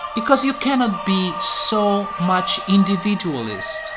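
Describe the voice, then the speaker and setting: A woman's medium-pitched voice with a non-native accent, amid audible room echo and music in the background. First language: not English. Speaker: political commentator. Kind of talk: satirical mock eulogy.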